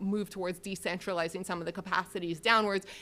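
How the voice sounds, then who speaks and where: A loud voice with a Canadian accent and a bright, sharp tone goes at a very fast pace in a very clean recording with a silent background. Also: woman. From Canada, Saskatchewan. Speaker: professor. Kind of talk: academic Q&A answer.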